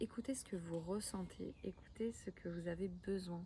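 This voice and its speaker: A soft-spoken, somewhat breathy voice in a calm tone. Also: woman. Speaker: life coach and card reader. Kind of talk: weekly energy card reading with personal testimony. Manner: calm and soft; halting, many repetitions and fillers.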